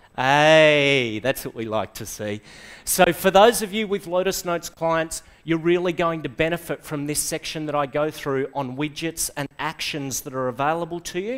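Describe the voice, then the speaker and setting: With an Australian accent, a man speaks at a high pitch and a moderate pace. The background is quiet. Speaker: software trainer / conference speaker; software trainer, conference speaker. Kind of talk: presentation to a live audience. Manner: animated. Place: classroom.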